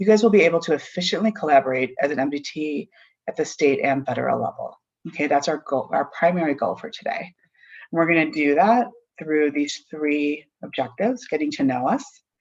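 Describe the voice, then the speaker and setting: The delivery is fairly quick, with lively intonation. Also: woman, very deep, low pitch for a woman. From US Midwest, Chicago, of Argentinian background. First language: Spanish. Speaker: forensic interviewer and trainer. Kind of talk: training presentation. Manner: informal, conversational.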